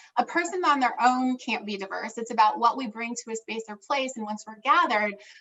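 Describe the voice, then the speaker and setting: A woman with an American accent talks at a fairly quick pace, her fairly high voice showing ordinary pitch variation. Her loudness swings widely, and there is noticeable background noise. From Minnesota, US. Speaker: DEI consultant. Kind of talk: interview.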